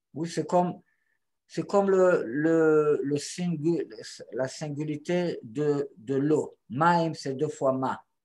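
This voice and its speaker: Speaking very slowly, a man has a non-native accent. His pitch is fairly high, and the background is quiet. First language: not French (speaking French). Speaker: Torah teacher. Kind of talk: teaching conversation. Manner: halting.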